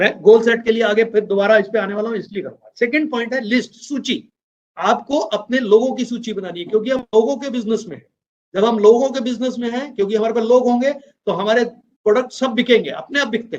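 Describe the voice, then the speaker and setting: This man's voice sits at an extremely high pitch and shows big swings in loudness. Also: ordinary pitch variation, moderate pace. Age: 60s. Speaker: business trainer. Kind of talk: motivational training talk.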